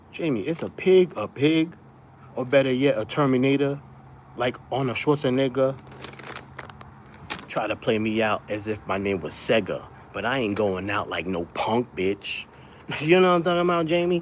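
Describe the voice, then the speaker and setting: Over noticeable background noise, a man at medium pitch talks at a moderate pace with lively intonation and long, frequent pauses. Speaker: live streamer. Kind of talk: casual livestream chat. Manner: loud.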